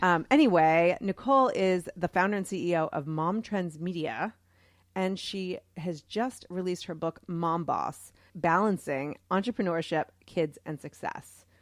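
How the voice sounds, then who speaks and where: A woman with an American accent and a plain, everyday voice, fairly low in pitch with ordinary pitch variation, at a fairly slow pace on a very clean recording with a silent background. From US Northeast, Boston. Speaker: podcast co-host. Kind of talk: casual chat.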